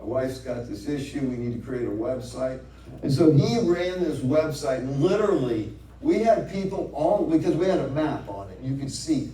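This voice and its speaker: Noticeable noise sits in the background. The room adds an audible echo. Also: man. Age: 60s. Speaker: speaker at club meeting. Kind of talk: speech.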